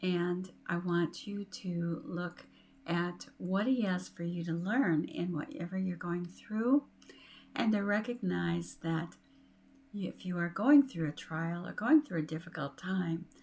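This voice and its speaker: Somewhat breathy and fairly low-pitched, a woman speaks at a very slow pace with lively intonation. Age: 60s. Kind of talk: inspirational talk to camera. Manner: warm, encouraging.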